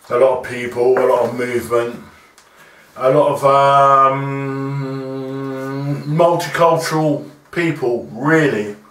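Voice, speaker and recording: A man's voice comes with noticeable background noise and audible room echo, his intonation fairly even. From Southampton, southern England. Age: 60s. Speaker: community elder, former sound system owner. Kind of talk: interview.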